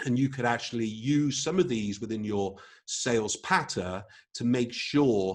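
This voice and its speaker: Speaking with an English accent, a man of medium pitch uses lively intonation. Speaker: photography business trainer. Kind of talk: webinar presentation. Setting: live online webinar. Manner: hesitant, frequent fillers and repetitions.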